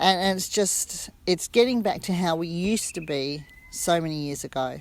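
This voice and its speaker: A woman's fairly low voice with lively intonation, in an Australian accent. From Western Australia. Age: 60s. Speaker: retreat guest. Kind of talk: testimony. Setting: on camera. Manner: casual, halting with self-corrections.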